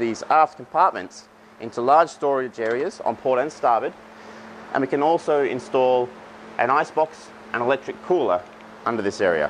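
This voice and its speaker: A man speaks at a moderate pace with ordinary pitch variation. Long, frequent pauses break up his speech over light background noise. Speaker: presenter. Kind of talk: product walkthrough. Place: factory.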